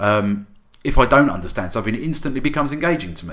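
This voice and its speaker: A man talks at a very fast pace. There is audible echo from the room. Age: 30s. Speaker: podcast co-host. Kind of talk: casual chat.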